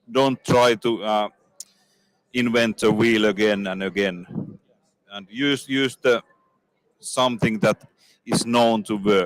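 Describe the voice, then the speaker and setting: A man with a Finnish accent speaks very slowly at a medium pitch, with ordinary pitch variation. The sound is dry and close, with no echo. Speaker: industry executive. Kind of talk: interview. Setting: trade fair booth. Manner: halting.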